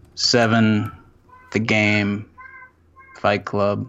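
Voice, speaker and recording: Noticeable background noise runs beneath this man's speech. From North Carolina (Salisbury). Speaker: journalist and filmmaker. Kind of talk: casual chat. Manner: casual, repetitive stammering.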